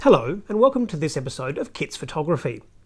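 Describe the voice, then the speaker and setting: On a very clean recording with a silent background, a man with an Australian accent speaks with very wide pitch swings. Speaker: photographer. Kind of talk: tutorial. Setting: outdoors at night. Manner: soft-spoken, quiet.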